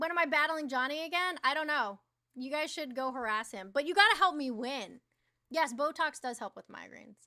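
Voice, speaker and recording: Raised and projected, a woman's high-pitched voice comes at a fairly quick pace with an animated tone, a bright, sharp tone and big swings in loudness. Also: lively intonation. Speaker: livestreamer. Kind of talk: casual live-stream chat. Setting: live stream with chat audience.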